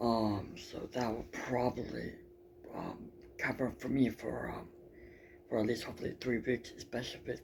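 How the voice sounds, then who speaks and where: Soft-spoken with vocal fry, a man talks at a moderate pace and medium pitch with fairly even intonation. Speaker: travel vlogger. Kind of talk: casual travel vlog talk. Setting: indoors early morning, others sleeping. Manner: quiet, soft-spoken; halting, many fillers.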